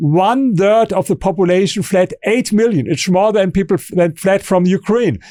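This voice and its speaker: A high-pitched man with ordinary pitch variation and hardly any pauses, on a very clean recording with a silent background. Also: moderate pace, dry, close sound with no echo. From Germany. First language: German. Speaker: author and historian. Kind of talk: interview. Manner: halting, with repeated words and false starts.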